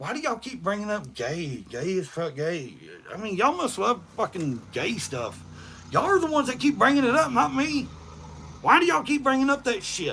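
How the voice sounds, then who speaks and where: A man with an East Tennessee accent speaks in a raised, projected voice at a fairly quick pace, his high pitch making very wide swings in a bright, sharp, animated tone. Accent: Southern US (East Tennessee). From US South. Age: 40s. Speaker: livestreamer. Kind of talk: casual chat. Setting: livestream. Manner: fast.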